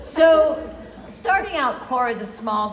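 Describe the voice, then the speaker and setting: Very wide pitch swings mark a fairly slow delivery. Noticeable background noise and audible room echo come through. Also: woman. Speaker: lactation educator honored at retirement event. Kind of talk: farewell speech.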